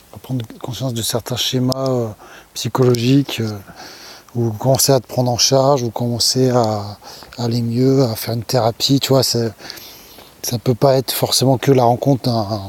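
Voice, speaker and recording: A soft-spoken man talks at a moderate pace and medium pitch, with monotone, flat intonation and long, frequent pauses. The sound is dry and close with no echo, though noticeable background noise comes through. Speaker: YouTuber sharing personal experience. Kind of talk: casual vlog monologue. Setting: outdoors at night. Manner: hesitant, many fillers.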